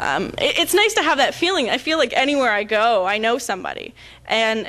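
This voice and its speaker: A woman's fairly high voice, bright and sharp in tone, with very wide pitch swings over a quiet background. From Canada, Ontario (Toronto). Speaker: conference speaker, website and webcam community runner. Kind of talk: conference talk with audience Q&A. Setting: stage with audience. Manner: casual, with many fillers and repetitions.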